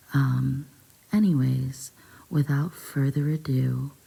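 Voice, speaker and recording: Each word comes at a very slow pace. The voice is soft-spoken. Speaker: ASMR storyteller. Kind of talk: soft-spoken ASMR story reading. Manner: hesitant with frequent ums.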